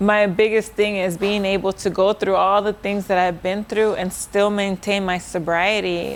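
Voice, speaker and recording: The woman's voice sits at a medium pitch, with monotone, flat intonation and hardly any pauses. Noticeable background noise runs underneath. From Oceanside, California, US. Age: 40s. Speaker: HR specialist, former inmate. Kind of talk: personal testimony. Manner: casual, many fillers.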